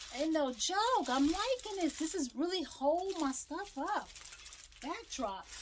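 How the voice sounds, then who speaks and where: Extremely high in pitch, a woman speaks loudly at a fairly slow pace with very wide pitch swings. Noticeable background noise is present. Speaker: small business owner and crafter. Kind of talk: tutorial. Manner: casual, chatty.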